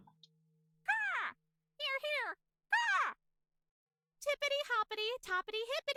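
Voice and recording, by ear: A squeaky, put-on character voice at an extremely high pitch, fairly slow, with long, frequent pauses.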